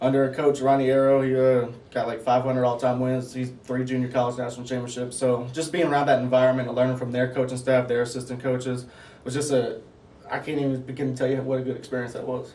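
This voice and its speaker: A man's very fast, monotone, flat delivery in a Southern US accent, with audible room echo and noticeable background noise. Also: medium pitch for a man. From US South, Mississippi Gulf Coast. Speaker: basketball assistant coach. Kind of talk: interview. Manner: casual, with many fillers.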